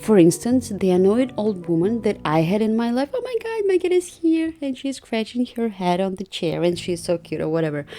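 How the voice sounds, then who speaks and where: A woman talks at a moderate pace in a fairly high voice, her pitch swinging very widely in an animated tone. Noticeable background noise is present. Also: hardly any pauses. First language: not English. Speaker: YouTuber doing commentary. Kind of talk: casual rant over speedpaint.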